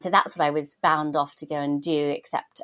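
A woman with a British accent and a very deep, low pitch at a moderate pace, in a dry, close sound with no echo. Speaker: journalist and broadcaster. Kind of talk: interview conversation.

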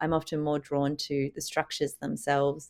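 A woman with an Australian accent and a very deep, low pitch, speaking at a fairly quick pace on a very clean recording with a silent background. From Sydney, Australia. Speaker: artist. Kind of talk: interview.

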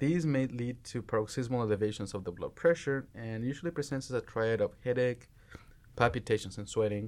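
A man at a medium pitch with ordinary pitch variation, talking at a fairly quick pace. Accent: Spanish. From Mexico. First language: Spanish. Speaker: medical resident. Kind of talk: medical teaching discussion.

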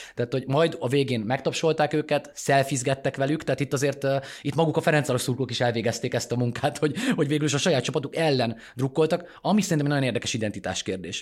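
Pitch varies in an ordinary way while the words come at a very fast pace. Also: man, fairly high pitch for a man. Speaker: political journalist, podcast host. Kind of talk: casual political analysis.

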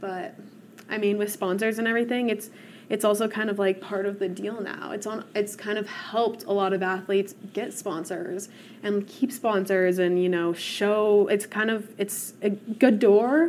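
With an American accent, a woman in an unremarkable speaking voice talks at a moderate pace with fairly even intonation. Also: medium pitch for a woman. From Colorado, Vail valley. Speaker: professional athlete, cyclist. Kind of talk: panel discussion.

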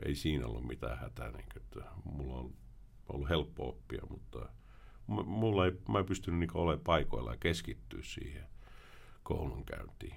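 Very deep and low, a man's voice carries vocal fry and lively intonation at a moderate pace. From Sweden (Finnish family, moved at age 4). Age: 40s. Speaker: former criminal turned author and prevention worker. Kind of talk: podcast interview.

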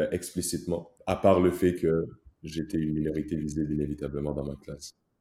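A dark, mellow tone marks this man's voice. He keeps to a moderate pace. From Rwanda. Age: 20s. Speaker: pharmacy student. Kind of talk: interview.

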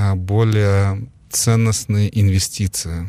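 A man speaks at a fairly low pitch with fairly even intonation. The recording is very clean, with a silent background. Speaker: investment company president and entrepreneur. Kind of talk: interview conversation. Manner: calm, measured.

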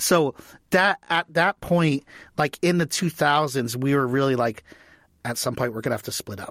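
A man's fairly high voice in an American accent, with ordinary pitch variation, dry and close with no echo, on a very clean recording with a silent background. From US, Washington, D.C. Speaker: TV writer and producer. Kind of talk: casual interview chat. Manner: fast.

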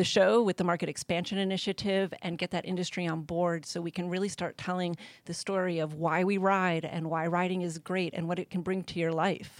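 Fairly low female voice at a moderate pace, monotone and flat, in a very clean, silent recording with dry, close sound and no echo. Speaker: motorcycle industry executive. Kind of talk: interview. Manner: shaky.

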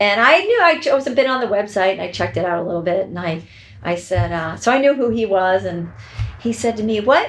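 A woman with a Boston accent speaks at a medium pitch with ordinary pitch variation. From US Northeast, Boston area (Braintree). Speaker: professional organizer and home stager. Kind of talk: casual interview. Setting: real estate office.

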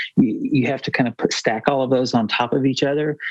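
A man with an American accent uses an ordinary speaking voice, medium in pitch, with fairly even intonation. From United States. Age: 50s. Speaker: researcher and entrepreneur. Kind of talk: podcast interview.

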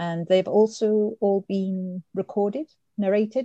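With a Welsh accent, a woman speaks at a medium pitch in a dark, mellow, somewhat breathy tone. The sound is dry and close, with no echo. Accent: Welsh (Swansea). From Swansea, Wales. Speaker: fan site writer. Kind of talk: casual chat.

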